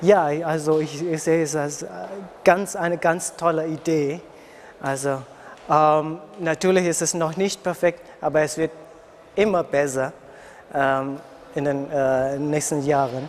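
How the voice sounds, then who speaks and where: A man with a fairly high voice speaks in an Indonesian accent, fairly slowly and with fairly even intonation. He takes long, frequent pauses. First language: Indonesian (speaking German). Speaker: international university student. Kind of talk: interview. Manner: halting.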